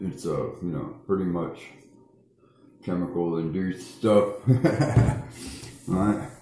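A man speaks at a fairly slow pace. There is audible room echo. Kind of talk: casual vlog chat. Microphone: phone near.

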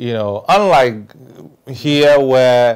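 Fairly even intonation against a quiet background. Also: man. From Ghana, Volta region (Keta). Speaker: presidential aspirant. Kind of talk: interview. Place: home room.

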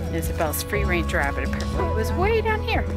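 Clear music sits behind the voice of a woman. Her sound is dry and carries no echo. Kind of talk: casual vlog chat. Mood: weary of winter, cheerful. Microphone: phone near.

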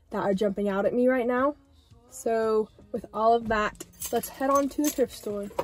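With fairly even intonation, a woman goes along at a moderate pace. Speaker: fashion vlogger. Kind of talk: casual vlog chat. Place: car. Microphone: phone near.

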